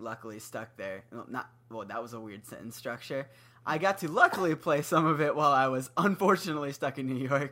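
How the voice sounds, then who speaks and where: An ordinary speaking voice from a man, fairly high in pitch and fairly quick, with lively intonation and big swings in loudness. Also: very clean recording, silent background. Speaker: podcast co-host, musician. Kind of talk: casual chat.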